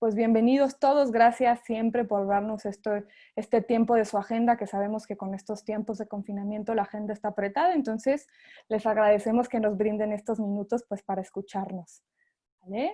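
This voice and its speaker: A woman speaks at a fairly quick pace in a fairly high pitch, her dark, mellow tone carrying fairly even intonation over a quiet background. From Mexico. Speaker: sales representative for an education company. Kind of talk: webinar presentation. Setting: online webinar. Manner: hesitant, with frequent fillers.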